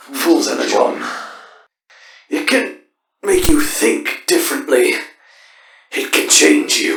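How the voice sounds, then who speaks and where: In a put-on character voice, a man speaks in a raspy, extremely high pitch at a fairly slow pace, with long, frequent pauses and a slight echo. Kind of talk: comic dub performance. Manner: tired, resigned.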